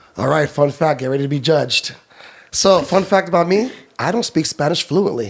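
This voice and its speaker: A man with a fairly high pitch, lively intonation and a fairly quick pace. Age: 40s. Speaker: nightlife event promoter. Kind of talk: casual interview chat. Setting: studio. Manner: fast.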